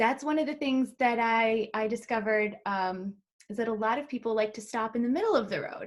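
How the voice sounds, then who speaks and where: Speaking at a fairly quick pace, a woman with an American accent has an unremarkable speaking voice, a fairly high pitch and ordinary pitch variation. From US Midwest. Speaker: travel advisor, podcast host. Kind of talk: casual interview.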